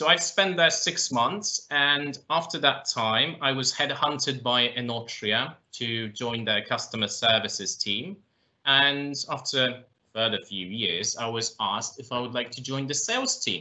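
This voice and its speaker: Fairly slow delivery over a quiet background, with ordinary pitch variation. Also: man. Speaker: guest. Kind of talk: interview answer. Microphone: video call.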